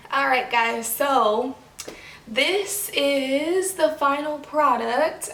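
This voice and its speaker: The intonation is lively and rises and falls often. Noticeable background noise and audible room echo come through. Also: woman. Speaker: beauty vlogger. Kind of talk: casual vlog talk to camera.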